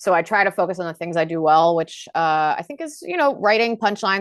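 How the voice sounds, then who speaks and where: Against a quiet background, a woman talks at a very fast pace in a fairly low pitch, with a dry, close sound and no echo. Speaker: stand-up comedian. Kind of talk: casual chat.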